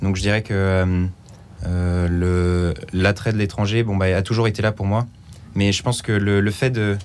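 Fairly low-pitched and monotone, a man speaks fairly slowly in a flat intonation with very even loudness. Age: 20s. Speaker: engineering student volunteer. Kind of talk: radio interview. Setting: studio.

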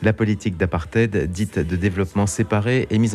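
With music in the background, a man with a slight Germanic accent speaks at a moderate pace in a fairly low pitch with ordinary pitch variation. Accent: slight Germanic-tinged French pronunciation. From eastern France near German border. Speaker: travel radio host. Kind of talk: interview; scripted narration.

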